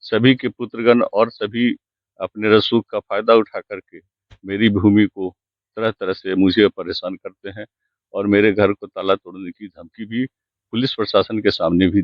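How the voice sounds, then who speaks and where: A man speaks at a fairly low pitch with fairly even intonation. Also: big swings in loudness. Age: 60s. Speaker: complainant landowner. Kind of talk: interview.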